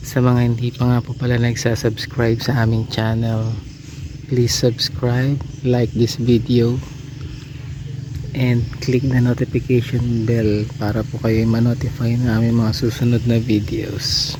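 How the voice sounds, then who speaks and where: Soft-spoken and monotone, a man with a medium pitch speaks at a fairly slow pace, with noticeable background noise behind him. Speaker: family travel vlogger. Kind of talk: vlog narration. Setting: outdoors at campsite.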